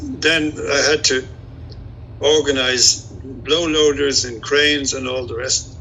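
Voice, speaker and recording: A man with an Irish accent speaks at a fairly slow pace in a fairly high pitch, with noticeable background noise behind him. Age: 70s. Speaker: retired airline pilot, amateur boatbuilder. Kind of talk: interview. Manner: halting.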